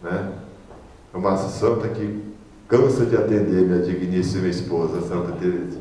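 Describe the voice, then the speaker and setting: There is audible echo from the room. The male speaker keeps a moderate pace. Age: 60s. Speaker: deacon preacher. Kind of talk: sermon. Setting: prayer group meeting.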